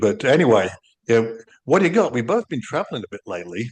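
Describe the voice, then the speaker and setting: A man speaks with an English accent. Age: 60s. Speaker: podcast co-host. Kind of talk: casual chat. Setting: video podcast recording.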